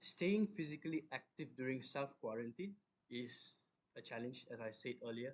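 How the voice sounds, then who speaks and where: Soft-spoken and fairly high-pitched, a man talks at a moderate pace with lively intonation. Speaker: fitness coach. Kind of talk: online talk.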